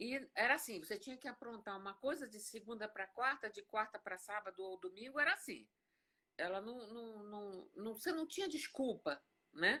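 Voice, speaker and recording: A woman speaks at a moderate pace with a bright, sharp tone, fairly high pitch, and lively intonation. Her loudness swings widely. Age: 60s. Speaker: concert pianist. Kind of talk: interview. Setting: video call.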